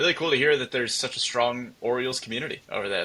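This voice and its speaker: A man with an American accent at a very fast pace. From upstate New York. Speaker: sports journalist. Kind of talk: casual interview.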